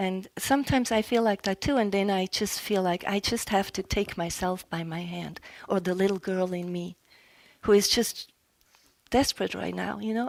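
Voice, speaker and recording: Speaking at a moderate pace, a woman has a plain, everyday voice of medium pitch with fairly even intonation. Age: 60s. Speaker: relationship coach giving a talk. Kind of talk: public talk with audience discussion.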